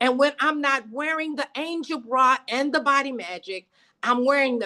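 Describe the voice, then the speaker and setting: Speaking at a fairly slow pace, a woman with an American accent uses a high pitch, a bright, sharp tone and a raised, projected voice. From Texas. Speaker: network marketing distributor. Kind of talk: sales presentation. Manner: animated.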